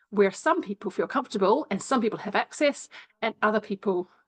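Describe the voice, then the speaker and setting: Dry and close with no echo, a woman's medium-pitched voice moves at a fairly quick pace with lively intonation. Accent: New Zealand. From New Zealand. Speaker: sociology lecturer, former classical musician. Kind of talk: interview. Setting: video call.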